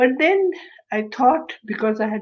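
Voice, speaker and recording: In a Kashmiri accent, a woman speaks at a fairly slow pace. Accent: Kashmiri Indian English. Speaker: translator and retired English professor. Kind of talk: interview.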